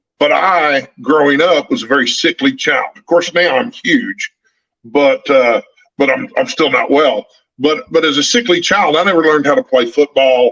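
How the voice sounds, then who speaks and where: A man's fairly high voice with a Texan accent at a moderate pace, with very wide pitch swings, very even loudness and a dry, close sound with no echo. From Northeast Texas, small town. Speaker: book youtuber. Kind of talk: casual chat.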